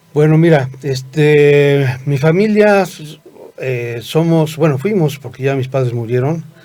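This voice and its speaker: In a room with audible echo, a man with a dark, mellow tone and fairly high pitch talks at a very slow pace, with ordinary pitch variation. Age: 60s. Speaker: medical school director. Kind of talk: interview. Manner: halting, many fillers.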